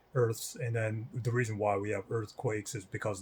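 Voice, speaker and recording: Very fast and somewhat breathy, a man talks with fairly even intonation. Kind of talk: video commentary / religious rebuttal. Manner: hesitant, many fillers.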